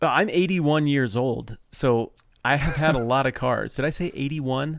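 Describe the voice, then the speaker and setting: This man has a fairly high pitch and a plain, everyday voice. He talks at a moderate pace with ordinary pitch variation. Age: 40s. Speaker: podcast guest, bible teacher. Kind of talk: casual chat.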